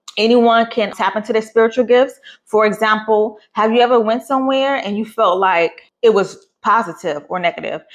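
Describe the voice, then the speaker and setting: Her pitch fairly high and varying in an ordinary way, a woman speaks with hardly any pauses. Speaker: podcast host. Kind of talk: casual spiritual talk. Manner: fast.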